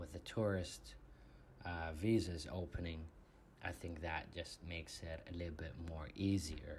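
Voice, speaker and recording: With an Arabic accent, a man speaks at a fairly slow pace in a very deep, low, somewhat breathy voice with ordinary pitch variation. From Saudi Arabia, Riyadh. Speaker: podcast guest. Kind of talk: interview.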